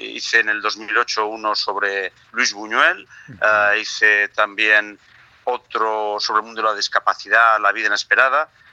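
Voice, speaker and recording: A man with a fairly low pitch talks at a fairly slow pace in a flat monotone, the sound dry and close with no echo. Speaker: film director and producer. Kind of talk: phone interview.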